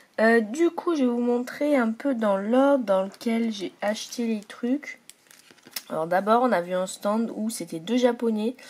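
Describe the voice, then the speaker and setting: A woman speaks at a fairly slow pace with lively intonation. Noticeable background noise runs underneath. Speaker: vlogger. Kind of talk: casual vlog. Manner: hesitant, many fillers.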